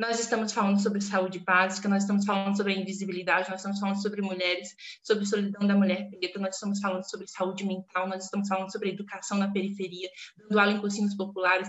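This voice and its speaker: Amid noticeable background noise, a woman talks at a very fast pace in a medium pitch. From Brazil, southeastern Pará. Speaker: literature teacher and academic. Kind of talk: podcast interview. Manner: animated.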